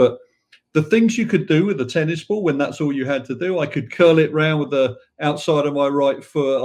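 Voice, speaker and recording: In an English accent, a man talks at a fairly high pitch. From England, south London (Wimbledon). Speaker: football club president. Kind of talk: podcast interview.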